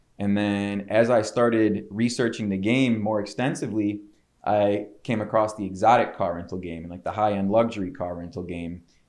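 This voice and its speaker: With a Chicago accent, the speaker shows big swings in loudness over a quiet background. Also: man, fairly low pitch for a man, ordinary pitch variation, moderate pace. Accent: Chicago-area American. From Chicago suburbs, Illinois. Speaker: entrepreneur. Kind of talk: podcast interview. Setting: studio. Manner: casual, filler-heavy.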